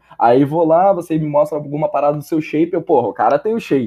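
Speaking fairly quickly with lively intonation, a man uses a fairly high pitch in an unremarkable speaking voice. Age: 20s. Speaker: fitness coaching student. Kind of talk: casual podcast interview.

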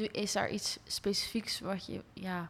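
A woman's medium-pitched voice keeps fairly even intonation while noticeable noise sounds in the background. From Rotterdam, Netherlands, partly abroad. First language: bilingual Dutch and English (speaking Dutch). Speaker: podcast host. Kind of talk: casual interview.

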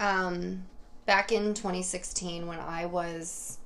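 Over noticeable background noise and audible room echo, a woman with an American accent speaks in a fairly low pitch. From New York, Hudson Valley. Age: 20s. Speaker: dating podcast guest. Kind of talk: casual chat.

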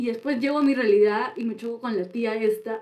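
A woman with an unremarkable speaking voice, fairly even intonation and a moderate pace. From Peru, Chiclayo then Lima. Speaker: podcast co-host. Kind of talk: casual chat. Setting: studio.

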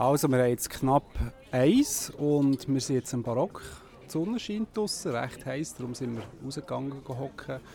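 A man of medium pitch at a moderate pace, a plain, everyday voice. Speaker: podcast host and photographer. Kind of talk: interview. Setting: outdoors at a café table.

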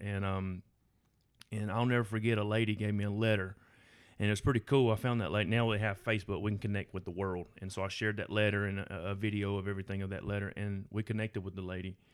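A man speaks very fast with a Southern US accent, his pitch fairly low and his intonation monotone and flat. The recording is very clean, with a silent background. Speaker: firefighter. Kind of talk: testimony.

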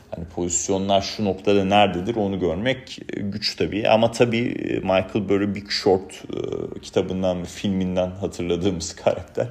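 Over noticeable background noise, a man talks at a moderate pace with a fairly low pitch and fairly even intonation. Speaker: investment research analyst. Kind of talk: market commentary monologue. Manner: conversational with filler hesitations.

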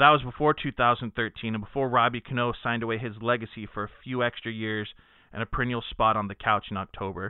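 An American accent marks this man's medium-pitched voice. He speaks very fast with fairly even intonation. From Texas (Dallas). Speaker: sports podcast host. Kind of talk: reading aloud; casual chat.

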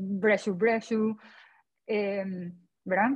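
Somewhat breathy, a woman talks at a fairly slow pace. Her intonation is monotone and flat. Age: 40s. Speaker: dieting support group member. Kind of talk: group conversation.

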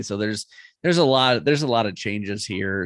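A man with an unremarkable speaking voice, fairly low pitch, ordinary pitch variation and a fairly quick pace against a quiet background. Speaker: guest fantasy football co-host. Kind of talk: casual chat, banter about fantasy football.

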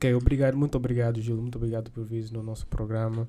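The voice belongs to a man with a medium pitch. He delivers everything in a flat, monotone way. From grew up elsewhere in Africa, not Angola. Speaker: podcast host. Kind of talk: interview. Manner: halting, many fillers.

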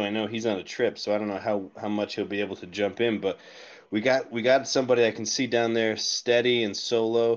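A man with a normal speaking voice talks at a medium pitch. His pace is fairly quick and his intonation fairly even. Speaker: co-host. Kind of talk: casual chat. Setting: Twitter Spaces audio.

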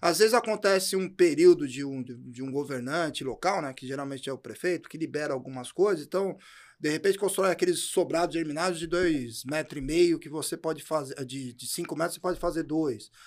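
A man talks fairly quickly in an unremarkable speaking voice, at a fairly high pitch with ordinary pitch variation and hardly any pauses. His loudness swings widely, and the recording is very clean with a silent background. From São Paulo, Brazil. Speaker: podcast co-host. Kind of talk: casual chat.

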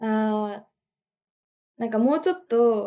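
A woman with a fairly high-pitched voice and a dark, mellow tone speaks at a moderate pace. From Japan, Chiba. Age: 20s. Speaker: art student. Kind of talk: casual chat.

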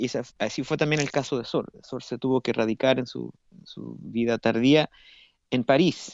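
Vocal fry marks this man's medium-pitched voice. He keeps a moderate pace and fairly even intonation. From Chile, Santiago. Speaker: classical guitarist and university professor. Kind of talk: radio interview. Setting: remote link to radio studio. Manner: halting, with many repetitions and fillers.

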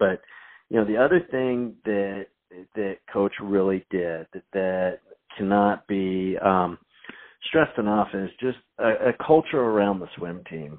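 A man with an American accent and a plain, everyday voice. His pitch is fairly low, with ordinary variation. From North Carolina, later Indiana. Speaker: former high school swimmer. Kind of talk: casual chat. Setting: phone call.

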